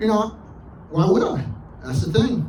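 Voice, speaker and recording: A man talks fairly quickly in a room with audible echo, noticeable background noise behind him. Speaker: vlogger. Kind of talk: casual vlog monologue. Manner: hesitant, filler-heavy.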